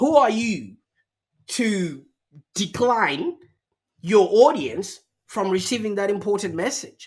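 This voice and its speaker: Using a very slow pace and a non-native accent, a man speaks at a high pitch with lively intonation and long, frequent pauses. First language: not English. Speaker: marketing agency founder. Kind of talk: podcast interview.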